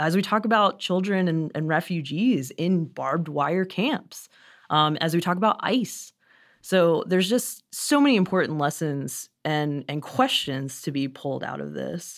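On a very clean recording with a silent background, a woman with an American accent speaks fairly slowly, her fairly low pitch carried by lively intonation. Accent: Southern accent, comes out sometimes. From US South. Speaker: humanities education director. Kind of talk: radio interview.

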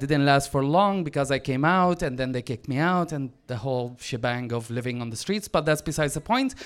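A man speaks at a fairly quick pace. He has an Arabic accent. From Syria, Damascus. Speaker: author and activist. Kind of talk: story reading to live audience. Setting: stage with audience. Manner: halting, self-interrupting.

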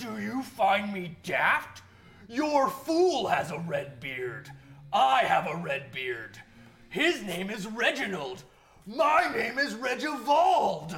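Someone growls in a put-on character voice with a fairly high pitch and very wide pitch swings at a very slow pace. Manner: menacing, mocking.

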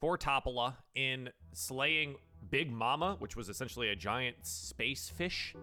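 Natural-voiced reading aloud

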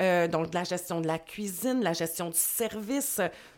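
Speaking at a very slow pace in a Quebec accent, a woman has a medium pitch and ordinary pitch variation, on a very clean recording with a silent background. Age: 40s. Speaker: life coach. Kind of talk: interview.

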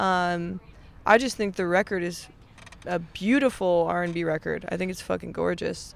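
At a moderate pace, a woman talks in an ordinary speaking voice with fairly low pitch and ordinary pitch variation. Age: 20s. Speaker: touring musician. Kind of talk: casual chat. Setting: tour van.

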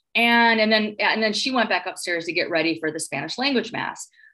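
A woman speaks in a fairly high voice with a Midwestern American accent and a bright, sharp tone. Her pitch swings very widely. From Northwest Indiana (Gary). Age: 40s. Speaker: professor and author. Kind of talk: interview.

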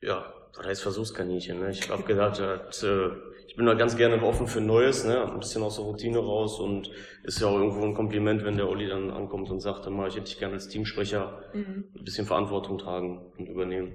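Audible room echo fills the space around a man with a fairly low pitch. He speaks at a fairly quick pace in a monotone, flat way. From Lower Rhine, Germany (Kamp-Lintfort). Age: 30s. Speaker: assembly worker and team spokesperson. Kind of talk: interview.

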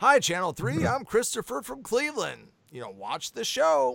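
A man speaks in a high, put-on character voice. His pitch swings very widely at a moderate pace. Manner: put-on broadcast voice.

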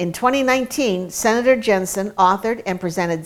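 A woman's unremarkable speaking voice, medium in pitch, with ordinary pitch variation and a moderate pace. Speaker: announcer introducing speaker. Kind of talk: scripted introduction.

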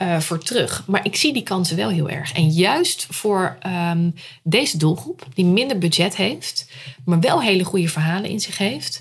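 A woman with an unremarkable speaking voice talks at a fairly slow pace in a medium pitch with lively intonation. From Netherlands, Rotterdam. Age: 30s. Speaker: storytelling entrepreneur, former journalist. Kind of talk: casual interview. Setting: at home.

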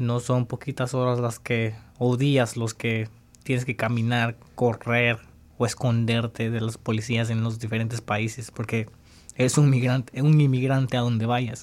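A man with a medium-pitched voice speaks fairly slowly, his intonation monotone and flat. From El Salvador. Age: 20s. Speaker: former high school soccer player, immigrant. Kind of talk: interview testimony.

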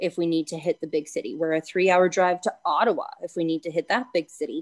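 A woman with a Canadian accent has a plain, everyday voice at a medium pitch, with ordinary pitch variation. The sound is dry and close, with no echo. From Ontario, Canada (Bancroft). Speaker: small business owner and nurse. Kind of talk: casual interview.

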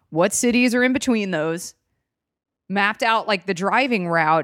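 In a very clean recording with a silent background and a dry, close sound with no echo, a woman with an American accent talks fairly quickly at a medium pitch, her voice swinging very widely in pitch. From US South, Atlanta, Georgia. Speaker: comedian. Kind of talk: casual chat. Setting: studio. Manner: loud.

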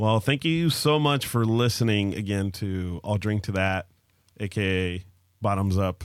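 An unremarkable speaking voice moves at a fairly slow pace with ordinary pitch variation, recorded very cleanly against a silent background. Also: man, fairly low pitch for a man. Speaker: podcast host. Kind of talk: casual chat over drinks.

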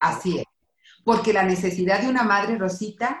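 A woman speaks with a somewhat breathy voice. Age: 50s. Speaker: psychologist. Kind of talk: casual chat.

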